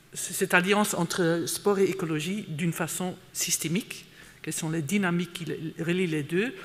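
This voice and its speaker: Recorded very cleanly against a silent background, a man speaks at a high pitch. His pace is fairly slow, with ordinary pitch variation. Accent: non-native. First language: not French (speaking French). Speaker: conference speaker, sustainability expert. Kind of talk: conference talk. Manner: hesitant, many fillers and repetitions.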